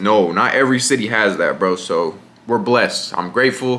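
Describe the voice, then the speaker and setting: This speaker has an American accent and lively intonation. The pace is moderate. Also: man. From Riverside, California (Inland Empire). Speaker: content creator. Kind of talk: casual Q&A monologue. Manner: casual, filler-heavy.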